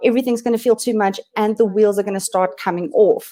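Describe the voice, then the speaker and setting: A woman talks in a dark, mellow tone. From South Africa, Limpopo. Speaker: digital marketing specialist. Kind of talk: webinar presentation. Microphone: audio feedback, hears own voice echo.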